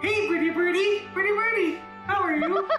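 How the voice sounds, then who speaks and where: A squeaky, put-on character voice at an extremely high pitch moves at a moderate pace over background music. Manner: cooing to a pet bird.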